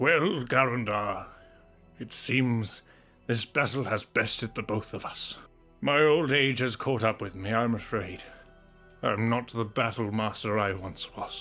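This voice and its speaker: Over faint background music, a man uses a put-on character voice at medium pitch, speaking at a fairly slow pace with ordinary pitch variation. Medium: solo performance. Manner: gruff, world-weary.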